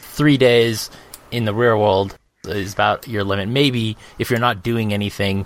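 With an American accent and a plain, everyday voice, a man talks at a fairly slow pace, his fairly low pitch held in fairly even intonation. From Arizona, US (Phoenix). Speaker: tabletop gaming podcast co-host. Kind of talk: casual chat.

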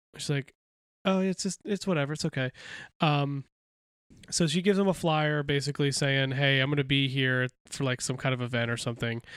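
A man with an ordinary speaking voice, fairly high for a man, at a fairly quick pace with ordinary pitch variation, in a very clean recording with a silent background and a dry, close sound with no echo. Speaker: comic book podcast co-host. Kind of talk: casual chat.

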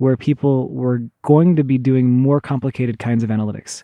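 A man with an American accent speaks in a medium pitch with a dark, mellow tone and fairly even intonation, recorded dry and close with no echo against a quiet background. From Oklahoma, US. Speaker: computer scientist. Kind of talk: interview.

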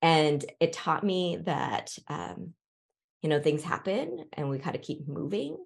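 Against a quiet background, a woman with a West Coast accent speaks fairly slowly at a very deep, low pitch, with vocal fry and ordinary pitch variation. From Seattle, US Pacific Northwest. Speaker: historian and author. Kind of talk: interview.

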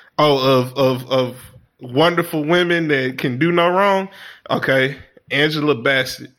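A man speaks at a fairly slow pace in a fairly high pitch. His tone is animated, with ordinary pitch variation. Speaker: podcast co-host. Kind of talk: casual chat.

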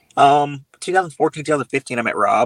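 A man speaks with a Louisiana accent at a medium pitch. The sound is dry and close, with no echo. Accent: Southern US (Louisiana). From US South, Louisiana (Baton Rouge). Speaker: hunting influencer. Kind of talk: interview. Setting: video call.

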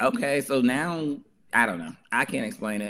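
With an American accent and vocal fry, the speaker's pitch swings very widely. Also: man. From New Jersey. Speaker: author. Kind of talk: interview.

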